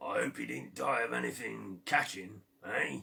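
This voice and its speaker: A man puts on a raspy character voice, very deep and low in pitch, swinging very widely up and down at a moderate pace. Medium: read story. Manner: sly, haggling.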